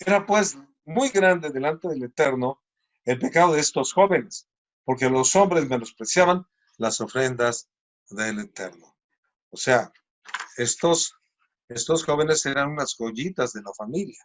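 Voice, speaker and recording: Long, frequent pauses break up a man's fairly slow delivery, which has lively intonation and a fairly high pitch. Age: 60s. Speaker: preacher. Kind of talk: sermon.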